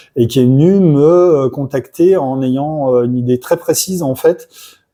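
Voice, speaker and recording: A man at a moderate pace, with a medium pitch and fairly even intonation. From France, Loire (Saint-Étienne, Forez mountains). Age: 40s. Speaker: illustrator. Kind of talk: interview. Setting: convention. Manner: hesitant, many fillers (euh).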